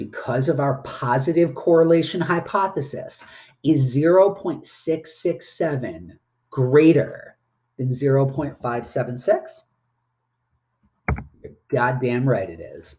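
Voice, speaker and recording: A man's dark, mellow tone, fairly high-pitched and somewhat breathy, at a very slow pace with long, frequent pauses, big swings in loudness and ordinary pitch variation. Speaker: statistics lecturer. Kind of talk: recorded lecture.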